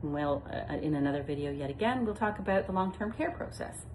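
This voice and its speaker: A woman with a very deep, low pitch talks at a very fast pace with lively intonation. Audible room echo is present. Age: 60s. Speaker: retirement home manager turned vlogger. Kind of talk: casual informative vlog talk. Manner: conversational with frequent fillers.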